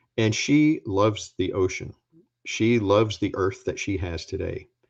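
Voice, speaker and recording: Over a quiet background, a man talks at a fairly slow pace in a fairly low, somewhat breathy voice with ordinary pitch variation. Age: 60s. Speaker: former agency administrator and scientist. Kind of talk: talk with slides. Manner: emphatic.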